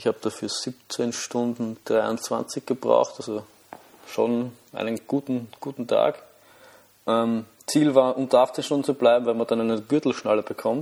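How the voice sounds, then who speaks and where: With a Viennese accent, a man speaks at a fairly slow pace in a monotone, flat intonation. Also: medium pitch for a man. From Austria, Vienna. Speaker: amateur runner podcaster. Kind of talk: solo monologue podcast. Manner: halting, many fillers and repetitions.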